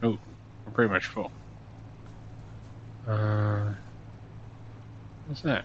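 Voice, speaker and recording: Breathing somewhat breathily, a man with a fairly low pitch speaks very slowly, leaving long, frequent pauses. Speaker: gaming let's-play youtuber. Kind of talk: let's play gameplay commentary. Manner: speaking low; halting, many fillers.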